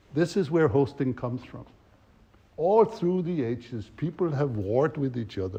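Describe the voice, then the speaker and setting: Somewhat breathy and dark, mellow in tone, a man's fairly high voice moves through very wide pitch swings. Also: moderate pace. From Denmark. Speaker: facilitation trainer. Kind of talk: workshop teaching.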